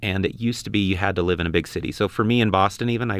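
Talking at a very fast pace, a man with a very deep, low voice and an American accent keeps his intonation fairly even. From Utah. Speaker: business owner. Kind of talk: interview.

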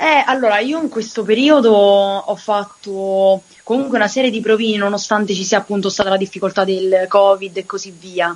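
A woman speaks at a moderate pace in a medium pitch with ordinary pitch variation over noticeable background noise. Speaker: singer. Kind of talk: interview. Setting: remote call.

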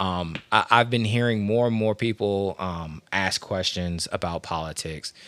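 In an American accent and an ordinary speaking voice, a man with a fairly low pitch and ordinary pitch variation speaks at a fairly slow pace with hardly any pauses, on a very clean recording with a silent background. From Washington, D.C. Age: 30s. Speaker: podcast host. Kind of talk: casual chat.

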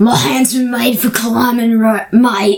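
A female-sounding put-on character voice in an Australian accent, fairly high in pitch, at a fairly slow pace. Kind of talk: casual, addressing someone as mate.

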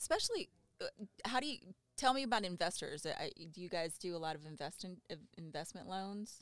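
A woman with an American accent has a plain, everyday voice at a medium pitch. Her lively intonation comes at a fairly quick pace with big swings in loudness. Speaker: podcast host. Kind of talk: casual interview chat.

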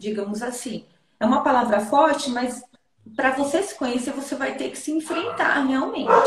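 Audible room echo surrounds a woman's voice. Her pitch is high, with ordinary variation. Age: 30s. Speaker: therapist. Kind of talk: advice talk in interview.

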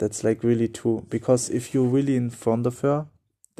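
A man's dark, mellow voice with a German accent. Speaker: dating coach. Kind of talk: solo monologue podcast. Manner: halting.

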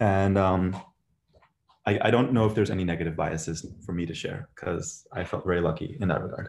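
A man's very deep, low voice at a fairly quick pace, with ordinary pitch variation. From India, raised in US. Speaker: startup co-founder. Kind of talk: casual panel discussion. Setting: online audio chat room.

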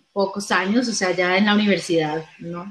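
This woman has a plain, everyday voice. Her pitch sits in the medium range with ordinary pitch variation. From Colombia. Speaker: actress and comedian. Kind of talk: interview.

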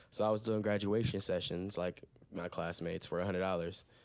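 A normal speaking voice from a man, fairly low in pitch, with fairly even intonation at a fairly quick pace. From Toledo, Ohio. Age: 20s. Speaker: freelance photographer. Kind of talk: casual chat. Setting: home recording.

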